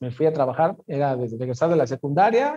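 Somewhat breathy and fairly high, a man's voice carries a dark, mellow tone. He speaks at a fairly quick pace, and the sound is dry and close with no echo. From Mexico City. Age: 30s. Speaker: football content creator. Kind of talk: casual interview.

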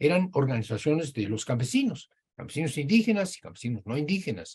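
The voice is somewhat breathy, moving at a fairly quick pace through very wide pitch swings. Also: man. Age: 80s+. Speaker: professor. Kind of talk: lecture.

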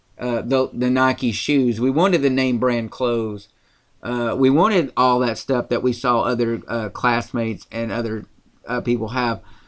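Against a quiet background, a man with a Tennessee accent talks with fairly even intonation. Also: medium pitch for a man. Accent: Southern US, Tennessee. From rural Tennessee. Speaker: podcast co-host, political commentator. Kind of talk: casual political commentary podcast.

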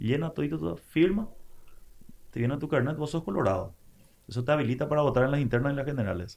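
Speaking very fast, a man with a fairly high pitch uses lively intonation and vocal fry. His talk is broken by long, frequent pauses. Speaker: broadcaster and political scientist. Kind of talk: casual interview.

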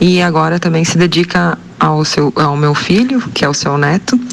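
Noticeable background noise lies under speech delivered at a fairly slow pace. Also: woman. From southern Brazil, Rio Grande do Sul. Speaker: radio listener. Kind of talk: recorded audio tribute.

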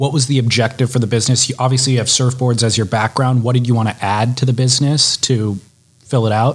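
A man with an American accent talks at a very fast pace in a monotone, flat intonation, sounding somewhat breathy. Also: medium pitch for a man. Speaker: podcast host. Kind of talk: interview.

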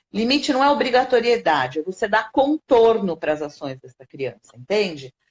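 Vocal fry at a moderate pace, with very wide pitch swings and hardly any pauses. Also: woman, fairly high pitch for a woman. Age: 50s. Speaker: educator and animal-assisted therapy specialist. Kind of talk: interview conversation.

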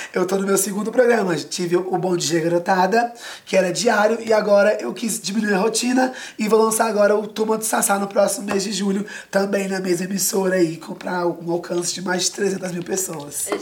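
A woman at medium pitch talking at a fairly quick pace over noticeable background noise. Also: fairly even intonation. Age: 20s. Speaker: actor and children's entertainer. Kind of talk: casual interview. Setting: TV studio.

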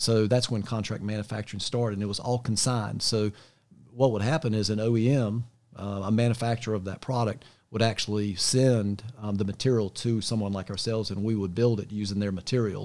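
A man with an American accent speaks at a fairly quick pace in a fairly low pitch, his intonation fairly even and his voice an unremarkable speaking voice, on a very clean recording with a silent background. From US South, Charlotte, North Carolina. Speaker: business executive. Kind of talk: casual interview. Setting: home studio.

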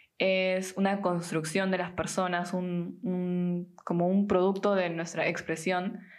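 Speaking at a very slow pace with hardly any pauses, a woman holds a medium pitch and very even loudness in a flat monotone, with audible room echo around her. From Peru. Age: 20s. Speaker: podcast host. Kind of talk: casual chat.

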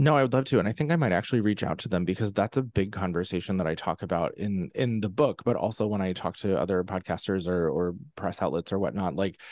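Against a quiet background, a man with a plain, everyday voice and an American accent talks at a fairly quick pace with lively intonation and a fairly low pitch. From central Pennsylvania. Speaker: actor, singer and author. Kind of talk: casual chat.

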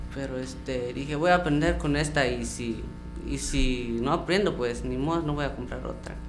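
A man talks at a moderate pace. Music plays in the background, and the room echo is audible. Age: young. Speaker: musician. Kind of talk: interview.

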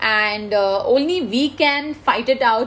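A woman with an Indian accent talks with ordinary pitch variation. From India, Mumbai. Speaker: IT consultant, engineer. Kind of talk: interview.

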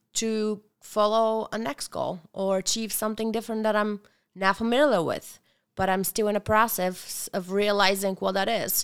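In a Bulgarian accent, a woman with a fairly high pitch talks at a moderate pace. The recording is very clean, with a silent background. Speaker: restaurant owner. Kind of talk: casual chat. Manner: animated.

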